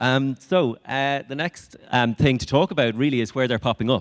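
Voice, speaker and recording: At a moderate pace, a man speaks with an Irish accent. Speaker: conservation project speaker. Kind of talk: conference talk. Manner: hesitant, many fillers.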